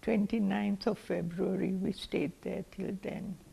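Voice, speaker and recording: A woman speaks at a very slow pace in a dark, mellow tone with vocal fry. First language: not English. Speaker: community elder. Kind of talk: oral history. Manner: halting.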